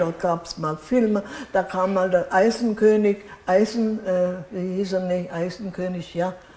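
Light background noise and audible room echo surround a fairly slow delivery with fairly even intonation. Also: woman. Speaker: contemporary witness. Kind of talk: interview answer. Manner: hesitant. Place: home room. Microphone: lapel.

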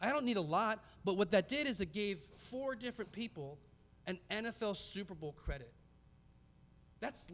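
A man's high-pitched voice with lively intonation. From US Southwest, Phoenix, Arizona. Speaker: filmmaker and speaker; presenter. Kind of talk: conference talk. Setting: stage with audience. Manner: casual, many filler words. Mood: earnest, reflective storytelling. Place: hall. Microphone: handheld.

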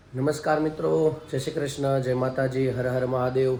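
A quiet, mumbling man amid noticeable background noise and audible room echo. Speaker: family vlogger. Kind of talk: casual vlog narration.

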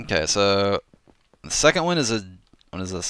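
A quiet man speaks at a fairly slow pace on a very clean recording with a silent background. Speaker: gaming YouTuber and map maker. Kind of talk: casual livestream commentary. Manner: speaking quietly.

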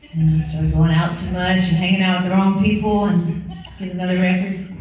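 A woman's fairly quick, monotone voice with flat intonation, audible room echo and light background noise. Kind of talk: between-song stage banter. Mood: wry, joking. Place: stage. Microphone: pa.

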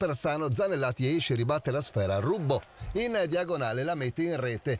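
Lively intonation and an animated, dramatic tone mark this man's fairly high-pitched voice. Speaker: sports commentator. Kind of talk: sports commentary, recorded voiceover of match highlights. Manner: animated, fast-paced, punchy, dramatic delivery.

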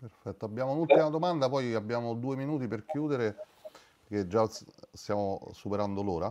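In a Roman accent, the speaker keeps a fairly quick pace with ordinary pitch variation, broken by long, frequent pauses. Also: man. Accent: Roman Italian. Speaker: webinar moderator. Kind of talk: casual chat. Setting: video call. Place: home room. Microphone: video call.

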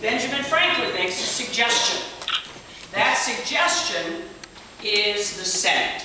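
The speech comes at a fairly slow pace. Noticeable background noise and strong room echo fill the recording. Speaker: tour guide. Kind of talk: guided tour talk. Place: hall. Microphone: camera far.

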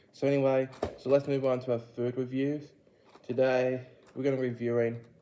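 Amid noticeable background noise, a man talks at a fairly quick pace and a medium pitch, his intonation monotone and flat. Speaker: food reviewer. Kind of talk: casual vlog review.

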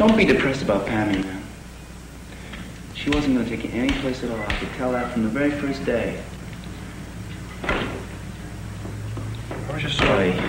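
A man talks at a moderate pace, stopping often for long pauses. Noticeable background noise and audible room echo surround his voice. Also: ordinary pitch variation. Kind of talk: improvised film dialogue. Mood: teasing, consoling. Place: home room.

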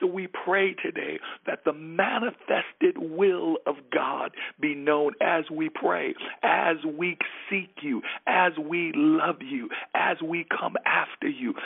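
A man at a very slow pace, over noticeable background noise. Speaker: pastor. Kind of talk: prayer, devotional.

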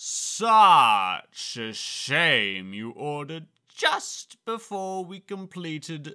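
Using a put-on character voice, a man speaks at a very slow pace with very wide pitch swings. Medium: dub.

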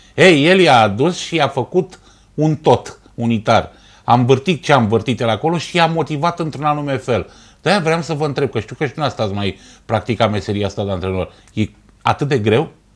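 Speaking at a moderate pace with a medium pitch, a man uses lively intonation. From Romania, Ploiești; Romania. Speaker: sports TV host. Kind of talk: TV talk show interview. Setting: TV studio. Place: studio.

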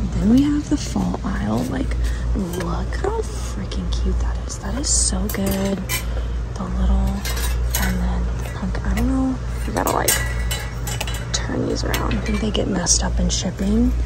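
Loud background noise sits under the speech. The speaker goes at a fairly slow pace with long, frequent pauses. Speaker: craft vlogger shopping. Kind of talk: casual vlog chat. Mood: excited, enthusiastic. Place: shop. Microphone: phone near.

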